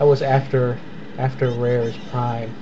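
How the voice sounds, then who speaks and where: Audible room echo and noticeable background noise accompany speech delivered at a moderate pace. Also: man. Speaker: let's play gamer. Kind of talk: gameplay commentary. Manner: loud; repetitive stammering.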